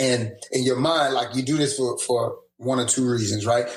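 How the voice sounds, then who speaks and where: A man with a medium-pitched, somewhat breathy voice speaks at a moderate pace. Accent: American. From New Orleans, Louisiana. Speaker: teacher. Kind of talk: casual podcast interview storytelling. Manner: animated.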